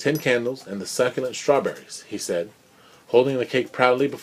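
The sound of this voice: Ordinary pitch variation runs through this voice. It is an unforced reading voice.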